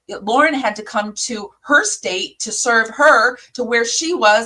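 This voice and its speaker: Speaking with an American accent, a woman sounds bright and sharp, her fairly high voice animated and full of lively intonation. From US Midwest, Michigan. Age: 50s. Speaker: YouTube commentator. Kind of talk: casual reaction commentary. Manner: halting, word-finding slips after a stroke.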